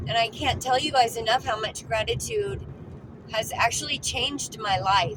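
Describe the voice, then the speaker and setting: There is noticeable background noise as a woman talks at a fairly slow pace. Her pitch is fairly high and her intonation lively. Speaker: lifestyle vlogger. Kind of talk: casual vlog talk. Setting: in a car. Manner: loud; repetitive stammering.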